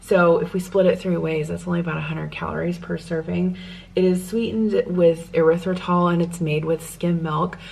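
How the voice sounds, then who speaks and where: A soft-spoken woman talks at a moderate pace with an American accent. Her pitch is fairly low, and background noise is noticeable. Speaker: lifestyle vlogger. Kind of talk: casual vlog talk to camera. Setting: at home.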